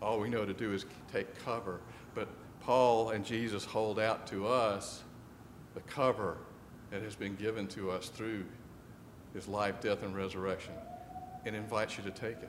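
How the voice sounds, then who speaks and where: A man with a fairly low voice talks at a moderate pace in a flat monotone, with long, frequent pauses and audible room echo. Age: 60s. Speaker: pastor. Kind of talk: sermon. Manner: conversational, with frequent fillers.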